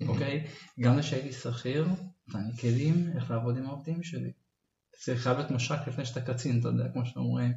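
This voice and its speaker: Somewhat breathy, a man talks fairly quickly at a medium pitch with fairly even intonation. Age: 30s. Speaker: nature photographer and entrepreneur. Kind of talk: interview.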